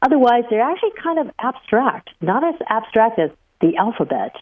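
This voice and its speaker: A woman speaks in a Chinese accent. She talks at a fairly quick pace. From Taiwan, moved to US at about nine. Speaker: professor. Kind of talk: interview.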